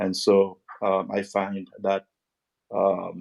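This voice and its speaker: A man is speaking. His pitch sits fairly low. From Haiti. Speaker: music producer and marketer. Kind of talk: self-introduction. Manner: halting.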